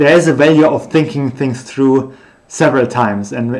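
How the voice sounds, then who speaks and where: A man speaks in a German accent with fairly even intonation. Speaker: researcher streaming their work. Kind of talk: unscripted live stream thinking aloud. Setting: live stream. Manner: halting, many fillers.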